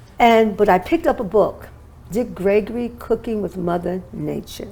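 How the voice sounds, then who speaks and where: A woman speaks at a moderate pace and a medium pitch with ordinary pitch variation, in a plain, everyday voice. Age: 60s. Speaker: holistic wellness expert and author. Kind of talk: interview testimony.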